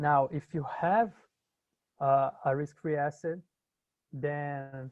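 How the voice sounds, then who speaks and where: This man's voice sits at a fairly high pitch, with fairly even intonation. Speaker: university instructor. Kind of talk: lecture. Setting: video call. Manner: halting.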